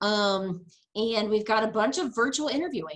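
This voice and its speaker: A woman speaks with an American accent at medium pitch. Her voice is somewhat breathy, and her intonation is lively. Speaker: university career services staff. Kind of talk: webinar presentation. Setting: video call. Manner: fast; casual, many fillers.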